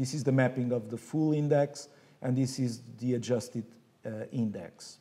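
A man speaks at a moderate pace in a medium pitch, his tone dark and mellow and his intonation fairly even. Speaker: architecture professor giving keynote. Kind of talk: academic keynote lecture. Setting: conference stage. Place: hall. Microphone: podium.

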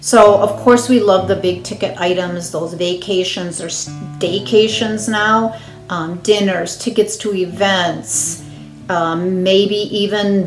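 Faint music plays behind a very slow speaker whose pitch varies an ordinary amount, with audible room echo. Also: woman. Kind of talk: announcement to congregation. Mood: upbeat, encouraging. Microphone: phone near.

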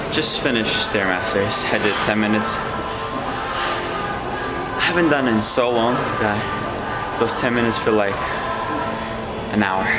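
Against loud music in the background, a man speaks at a fairly slow pace with long, frequent pauses and ordinary pitch variation. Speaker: fitness vlogger. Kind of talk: casual vlog chat. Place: gym. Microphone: phone near.

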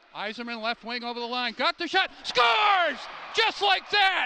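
A man talks at a moderate pace with lively intonation. The sound is dry with no echo, over loud background noise. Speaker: hockey play-by-play announcer. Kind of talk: live sports commentary, play-by-play of a hockey game. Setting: arena press box, live game. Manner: fluent, clipped play-by-play with calm filler between goals. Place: stadium. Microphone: headset.

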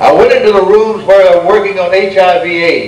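A man speaks with an American accent at a moderate pace. Audible room echo and light background noise surround him. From United States. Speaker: Baptist minister. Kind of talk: speech to an audience. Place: hall. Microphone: podium.

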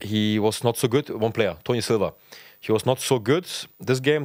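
A man with a German accent speaks at a fairly quick pace with ordinary pitch variation, the sound dry with no echo and the background quiet. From Germany, Potsdam; Germany. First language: German (speaking Dutch). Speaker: professional footballer; guest. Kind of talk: casual chat. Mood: relaxed storytelling. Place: studio. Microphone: studio mic.

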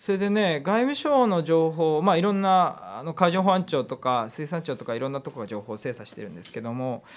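This man's pitch swings very widely and his loudness rises and falls a lot. He talks at a fairly quick pace. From Hokkaido, Japan. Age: 30s. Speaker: politician. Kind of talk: interview. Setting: studio. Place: studio. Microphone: studio mic.

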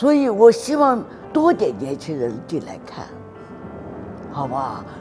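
Clear music plays behind a woman who talks at a fairly slow pace, her loudness swinging widely. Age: 70s. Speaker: calligraphy artist. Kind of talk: interview answer. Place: garden. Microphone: lapel.

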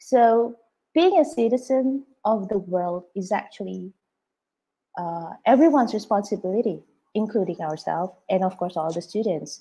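With a dark, mellow tone, a woman speaks at a moderate pace using lively intonation. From Indonesia. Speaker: preschool principal; webinar presenter, early years educator. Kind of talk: presentation. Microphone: video call.

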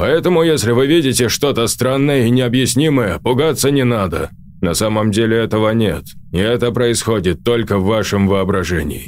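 A man speaks at a medium pitch and a fairly quick pace, with lively intonation. His loudness stays very even, and clear background noise is present. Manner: authoritative, urgent.

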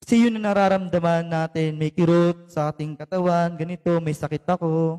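A man with a Filipino accent talks at a fairly quick pace, his pitch high and his tone dark and mellow. His intonation stays fairly even, and the sound is dry and close with no echo. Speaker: preacher. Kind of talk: sermon with fervent proclamation prayer and blessing. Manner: fervent, emphatic, rising intensity with repeated amens; code-switching between Tagalog and English.

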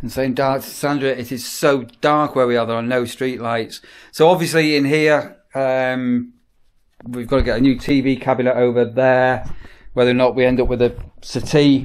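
Moderate pacing marks this man's speech. He sounds flat and monotone. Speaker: vlogger. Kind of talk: casual vlog chat. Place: home room. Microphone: phone near.

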